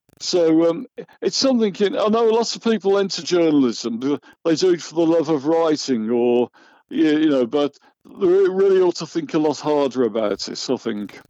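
A man's fairly high voice at a moderate pace, with an English Midlands accent and very wide pitch swings. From West Midlands, England (Solihull). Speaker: journalist and magazine editor. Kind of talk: interview. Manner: hesitant, many fillers.

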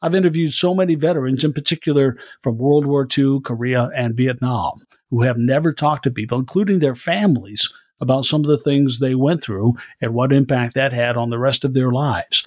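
A man's unremarkable speaking voice, medium in pitch, with ordinary pitch variation and a fairly quick pace. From US Midwest, Iowa. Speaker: news anchor and producer. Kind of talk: interview conversation.

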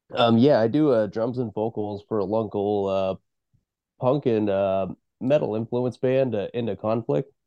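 In a normal speaking voice of medium pitch and an American accent, a man talks at a fairly slow pace with ordinary pitch variation, the sound dry and close with no echo against a quiet background. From Eastern Oregon. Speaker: band musician. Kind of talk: casual interview chat.

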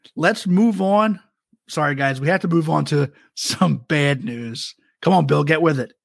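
At a fairly slow pace, a man with an unremarkable speaking voice talks at a fairly high pitch with lively intonation. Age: 40s. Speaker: podcast host. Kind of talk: casual chat.

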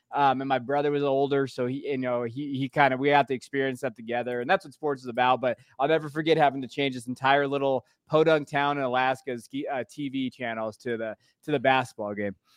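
Over a quiet background, a man talks at a very fast pace and medium pitch with fairly even intonation and hardly any pauses, the sound dry and close with no echo. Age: 30s. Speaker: teacher and college football podcaster. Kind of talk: casual chat. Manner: halting.

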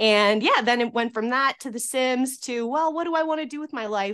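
A woman speaks with a Canadian accent in an ordinary speaking voice. The background is quiet. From Atlantic Canada. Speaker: architectural drafter. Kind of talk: casual chat.

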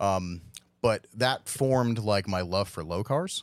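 This man has a normal speaking voice, fairly low in pitch, with ordinary pitch variation and a moderate pace, captured in a very clean recording with a silent background. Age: 40s. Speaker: drift team owner and event organizer. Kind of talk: casual chat.

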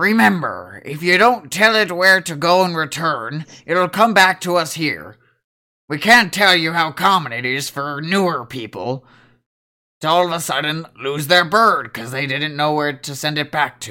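A man puts on a raspy character voice, fairly high in pitch, delivered at a moderate pace.

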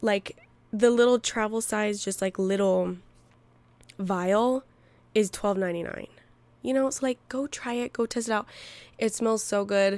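A woman talks at a fairly slow pace with long, frequent pauses, fairly even intonation, and a fairly high pitch. The sound is dry and close with no echo, and the recording is very clean with a silent background. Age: 20s. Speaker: podcast host. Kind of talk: casual solo chat. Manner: chatty, laughing, filler-heavy.

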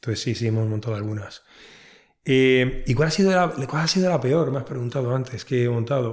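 This man has a medium-pitched voice that comes across as somewhat breathy. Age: 40s. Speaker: entrepreneur. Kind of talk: interview.

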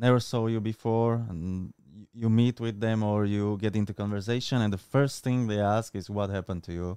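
With a Slovak accent, a man talks at a moderate pace in a medium-pitched, dark, mellow voice with ordinary pitch variation, recorded very cleanly against a silent background with a dry, close sound and no echo. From Slovakia. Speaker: content creator and street workout athlete. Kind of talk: casual interview. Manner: halting, with many fillers.

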